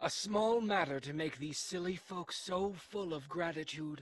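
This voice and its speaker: Using a put-on character voice, the speaker holds a middle pitch at a moderate pace. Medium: audio drama.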